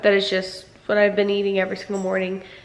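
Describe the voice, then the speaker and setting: Amid noticeable background noise and audible room echo, a woman is speaking. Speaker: vlogger. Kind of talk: casual vlog narration.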